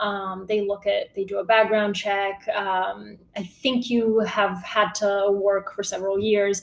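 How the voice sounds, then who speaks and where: This woman talks at a fairly slow pace with a medium pitch. She has an American accent. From Bulgaria, moved to US at 8 or 9. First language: Bulgarian. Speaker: newsletter writer, journalist. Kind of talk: casual interview chat.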